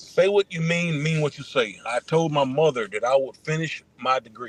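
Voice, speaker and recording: Over noticeable background noise, a man talks at a moderate pace in a fairly high voice with ordinary pitch variation, the sound dry and close with no echo. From Atlanta, US South. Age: 40s. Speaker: former pro football player and trainer. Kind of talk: casual interview.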